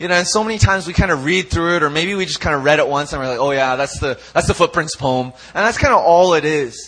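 Animated and very fast, a man with a Canadian accent and a fairly high pitch talks with hardly any pauses and ordinary pitch variation. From Canada (Vancouver). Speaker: youth pastor. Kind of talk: sermon. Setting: church.

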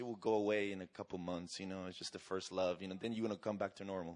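A man with a Spanish accent speaks in an animated tone. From Argentina. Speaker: evangelist. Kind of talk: sermon. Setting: church.

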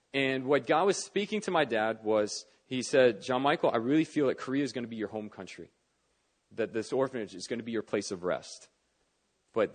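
Fairly quick, lively speech with an American accent against a quiet background. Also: man. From US, Northern Virginia. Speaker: pastor. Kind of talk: sermon. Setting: church service. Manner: conversational, relaxed.

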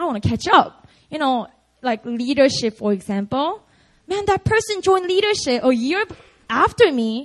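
A woman with a Korean accent speaks in an animated tone, her pitch making very wide swings. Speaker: pastor. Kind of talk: sermon. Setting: church.

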